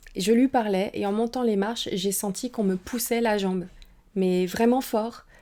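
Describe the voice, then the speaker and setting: In a Saint-Étienne accent, the voice has a dark, mellow tone and fairly even intonation at a moderate pace. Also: woman. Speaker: paranormal investigator and streamer. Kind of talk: testimony. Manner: hesitant, many filler sounds.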